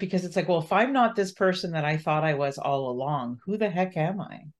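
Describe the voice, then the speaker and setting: A woman's fairly low-pitched voice carries lively intonation. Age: 50s. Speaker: podcast host. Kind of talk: casual chat.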